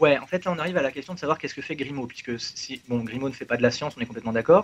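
With ordinary pitch variation, the man talks in a fairly high voice. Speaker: mathematician. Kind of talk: explanatory discussion.

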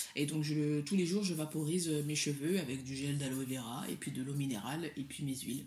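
With a West African accent, the speaker goes at a moderate pace, using ordinary pitch variation and a somewhat breathy sound. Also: woman. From Mali. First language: Soninke (speaking French). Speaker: hair cosmetics entrepreneur, legal professional, writer. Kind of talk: casual interview chat.

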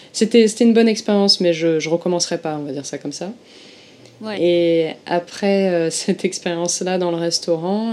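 Her tone is dark and mellow, with a fairly low pitch. This woman speaks at a moderate pace with ordinary pitch variation. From southern France, Marseille. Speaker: former Japanese shrine worker, Shinto expert. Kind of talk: interview conversation. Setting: remote call from Tokyo.

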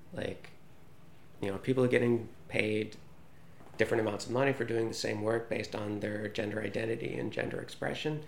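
Audible room echo surrounds a man with an American accent who speaks fairly quickly in a fairly low pitch with fairly even intonation. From United States. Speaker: journalist. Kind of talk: interview answers.

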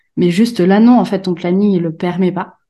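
A woman's dark, mellow, medium-pitched voice, with fairly even intonation and a moderate pace, over a quiet background. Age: 30s. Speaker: graphic designer. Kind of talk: casual interview.

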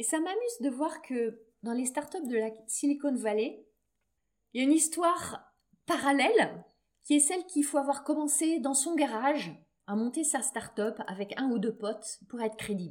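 A woman speaks with lively intonation in a high voice, keeping her pace moderate. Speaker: business coach and podcast host. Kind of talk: solo podcast monologue. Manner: lower energy than usual.

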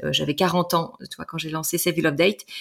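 Here a woman speaks with a fairly low pitch. It is a normal speaking voice. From Brittany, France. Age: 40s. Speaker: couples relationship coach. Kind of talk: interview conversation.

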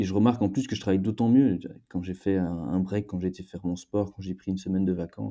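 A man talks very fast in a very deep, low pitch with a dark, mellow tone. The background is quiet. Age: 20s. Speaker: startup co-founder. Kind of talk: interview. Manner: halting, frequent repetitions.

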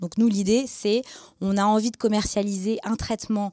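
Recorded very cleanly against a silent background with a dry, close sound and no echo, a woman speaks at a moderate pace with a medium pitch, fairly even intonation and a dark, mellow tone. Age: 20s. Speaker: biotech startup co-founder. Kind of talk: interview with students.

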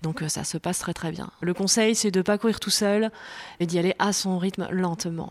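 A woman in a plain, everyday voice talks at a moderate pace and a medium pitch with fairly even intonation. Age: 40s. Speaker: amateur jogger, mother of five. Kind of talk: casual interview. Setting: at home.

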